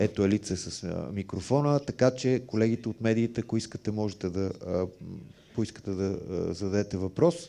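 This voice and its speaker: With a dark, mellow tone and a fairly low pitch, a man speaks at a very fast pace. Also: ordinary pitch variation. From Bulgaria. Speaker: event moderator. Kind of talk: event moderation. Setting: stage with audience. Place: hall. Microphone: headset.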